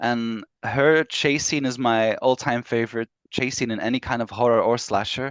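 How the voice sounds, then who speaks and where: In a Belgian accent, a man speaks at a moderate pace with fairly even intonation. The sound is dry and close, with no echo. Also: medium pitch for a man. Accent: Belgian Flemish accent in English. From Belgium (Flemish). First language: Flemish/Dutch. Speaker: author. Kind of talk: interview.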